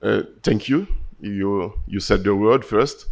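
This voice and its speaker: With a French accent, a man speaks at a moderate pace and fairly even intonation. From Haiti. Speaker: farmer organization leader. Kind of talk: panel discussion. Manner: halting.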